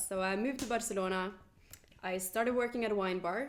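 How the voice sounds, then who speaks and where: Very fast speech from a woman in a Norwegian accent, medium in pitch, with ordinary pitch variation. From Norway. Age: 20s. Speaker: podcast host, journalist. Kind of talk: casual chat. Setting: winery.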